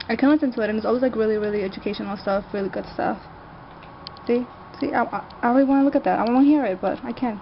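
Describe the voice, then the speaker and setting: A woman talks at a very fast pace with a fairly high pitch and ordinary pitch variation. Noticeable background noise is present. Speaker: video blogger. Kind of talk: casual chat.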